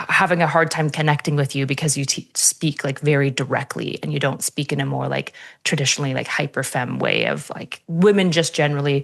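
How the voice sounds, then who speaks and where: A woman speaks with a very deep, low pitch and vocal fry. Her pace is moderate and her intonation fairly even. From French Canada. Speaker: podcast guest. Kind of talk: casual chat. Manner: direct.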